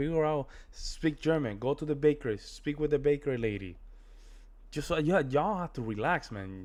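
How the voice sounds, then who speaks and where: Speaking at a moderate pace, a man has a strong Spanish accent and an animated tone. His fairly high pitch swings very widely. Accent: thick Spanish. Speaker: reaction video creator. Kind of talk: casual reaction commentary.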